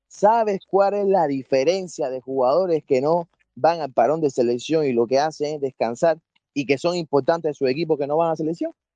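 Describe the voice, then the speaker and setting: A man's dark, mellow voice moves along at a moderate pace. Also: fairly high pitch for a man, ordinary pitch variation, dry, close sound with no echo. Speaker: football analyst. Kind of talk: casual debate.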